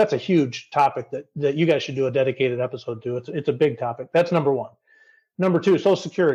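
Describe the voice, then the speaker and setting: Somewhat breathy with a dark, mellow tone, a man with an American accent speaks at a very fast pace, using a fairly high pitch and ordinary pitch variation. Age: 50s. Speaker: retirement blogger. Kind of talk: podcast interview.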